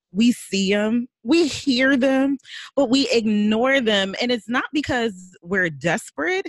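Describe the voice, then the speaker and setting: A woman talks at a fairly slow pace with lively intonation and a fairly high pitch. Her voice is somewhat breathy, and the sound is dry and close with no echo. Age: 40s. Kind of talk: casual chat.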